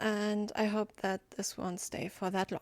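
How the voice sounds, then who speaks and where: A woman in a German accent at medium pitch and a moderate pace, with a dry, close sound, no echo, and a very clean recording over a silent background. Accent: German accent in English, self-described. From Germany. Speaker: gaming YouTuber. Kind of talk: voiceover commentary over gameplay. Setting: home recording, recorded in Audacity. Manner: halting, many fillers.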